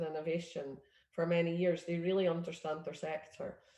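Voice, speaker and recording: A woman talks at a fairly quick pace with a Scottish accent. Her pitch sits in the medium range. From Scotland. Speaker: innovation network leader. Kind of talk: presentation. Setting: video call.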